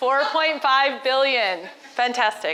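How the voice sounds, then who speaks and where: A woman with an American accent speaks in a raised, projected voice at a high pitch over noticeable background noise. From United States. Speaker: entrepreneur and speaker. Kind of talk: conference talk. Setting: stage with audience. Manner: conversational, interactive with audience.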